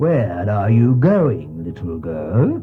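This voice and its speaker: Over clear background music, a man puts on a gruff character voice at a fairly low pitch. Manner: menacing, feigning friendliness.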